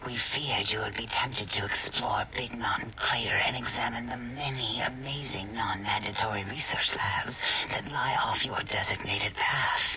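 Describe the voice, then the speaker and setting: A man whispers in a put-on character voice at a moderate pace against loud background noise. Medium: game stream. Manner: clinical, detached.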